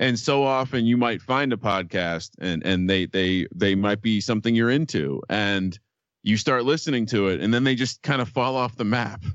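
In an American accent, the speaker uses an unremarkable speaking voice at a moderate pace, with ordinary pitch variation and very even loudness. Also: man, medium pitch for a man. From New Jersey, Fanwood. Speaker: sports gambling podcaster. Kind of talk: casual chat.

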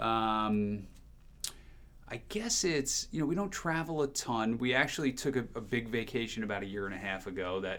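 Bright and sharp in tone, a man with an American accent speaks at a medium pitch with lively intonation. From New Jersey, near the Jersey Shore. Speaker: TV morning show host. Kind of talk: casual interview chat. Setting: studio.

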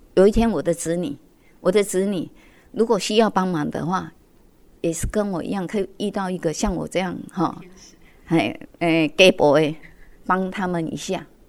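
A woman of medium pitch at a moderate pace, with ordinary pitch variation and long, frequent pauses. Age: 60s. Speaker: community association accountant. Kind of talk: interview. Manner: many filler particles.

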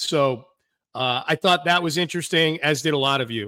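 In a very clean recording with a silent background, a man with a fairly high pitch and a bright, sharp tone speaks at a moderate pace with ordinary pitch variation. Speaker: sports radio host. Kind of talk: solo podcast commentary and mailbag. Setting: studio with video stream. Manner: casual, conversational with fillers.

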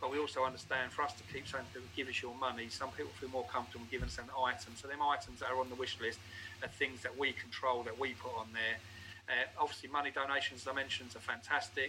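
With a Geordie accent, a man at medium pitch talks at a very fast pace in a monotone, flat way, with noticeable background noise. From northern England, Newcastle. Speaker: homeless charity volunteer. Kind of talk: interview.

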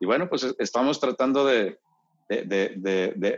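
A man talks at a fairly slow pace. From Monterrey, northern Mexico (born Mexico City). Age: 50s. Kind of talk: casual chat. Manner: halting, many repetitions.

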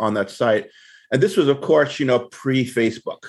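At a moderate pace and with ordinary pitch variation, a man talks in an ordinary speaking voice. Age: 50s. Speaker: tech writer and food blogger. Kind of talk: interview.

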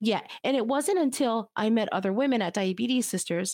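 A woman with an unremarkable speaking voice talks at a moderate pace, her pitch fairly high with ordinary variation, on a very clean recording with a silent background. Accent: American. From United States, Cuban family. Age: 40s. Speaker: nonprofit CEO. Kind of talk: interview.

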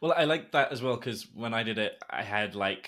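A man speaks in an ordinary speaking voice of medium pitch, with ordinary pitch variation at a moderate pace. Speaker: podcast host. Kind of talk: casual interview chat with ad reads. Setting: video call recording.

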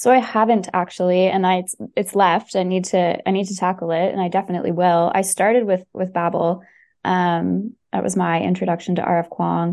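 The delivery is fairly quick, in a monotone, flat intonation. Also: woman, medium pitch for a woman. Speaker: company staff member, communications. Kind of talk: casual interview.

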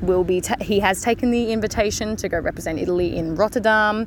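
This woman's voice sits at a medium pitch with ordinary pitch variation.

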